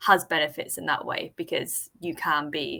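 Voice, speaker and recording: Loud and in a monotone, flat delivery, the woman speaks with a bright, sharp tone. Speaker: freelance marketer. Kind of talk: casual interview chat. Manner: loud, confident.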